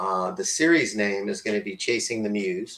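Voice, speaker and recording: A fairly slow pace with lively intonation. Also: man. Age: 60s. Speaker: podcast co-host presenting a talk. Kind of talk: casual presentation with slides. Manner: halting, many fillers.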